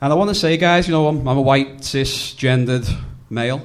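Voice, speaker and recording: This voice has a Liverpool accent, ordinary pitch variation and a moderate pace. Audible room echo surrounds it. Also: man. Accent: Scouse (Liverpool). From England, Liverpool. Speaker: comedian. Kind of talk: stand-up. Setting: stage with audience.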